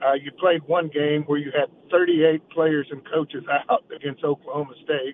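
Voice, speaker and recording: Speaking at a moderate pace, a man with an unremarkable speaking voice keeps a fairly even intonation at a fairly high pitch. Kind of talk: radio interview. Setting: phone call.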